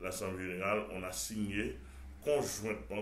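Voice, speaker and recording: A man with vocal fry speaks at a fairly low pitch with ordinary pitch variation, and audible room echo surrounds his voice. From Haiti. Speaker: pastor. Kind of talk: TV interview. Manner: halting, many repetitions.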